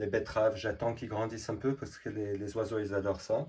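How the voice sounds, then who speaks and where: Somewhat breathy, this man's voice carries a dark, mellow tone. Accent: non-native. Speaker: permaculture gardener and artist. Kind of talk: casual talk to camera.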